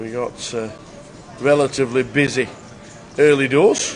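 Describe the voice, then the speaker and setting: A man speaks with a fairly high pitch and fairly even intonation. Noticeable background noise runs behind him. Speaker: poker commentator. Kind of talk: live commentary. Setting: live stream.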